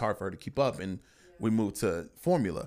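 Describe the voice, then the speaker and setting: The recording is very clean with a silent background, where a man talks at a fairly quick pace. He has a fairly low pitch and a normal speaking voice. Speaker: podcast host. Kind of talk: casual chat. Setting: home recording.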